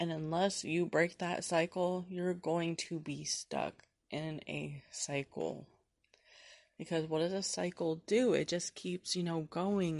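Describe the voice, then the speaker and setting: Over a quiet background, a woman speaks very slowly at a fairly low pitch with fairly even intonation. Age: 20s. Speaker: podcast host. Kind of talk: casual monologue. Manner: conversational, filler-heavy.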